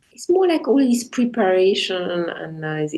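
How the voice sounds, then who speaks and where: With a strong French accent, a woman speaks at a fairly slow pace in a dark, mellow tone with very wide pitch swings. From French-speaking Switzerland, near Lausanne. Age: 50s. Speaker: jazz pianist and composer. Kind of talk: interview. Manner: halting, with many restarts.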